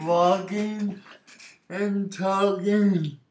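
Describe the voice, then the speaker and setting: A man speaks at a very slow pace. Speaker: vlogger sharing personal story. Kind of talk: personal testimony vlog. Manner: casual, hesitant with fillers.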